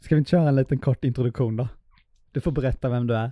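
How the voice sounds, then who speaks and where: With a dark, mellow tone, a man speaks at a very fast pace in fairly even intonation, the sound dry and close with no echo. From Småland, Sweden (Hestra). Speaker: podcast co-host, filmmaker. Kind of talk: casual chat.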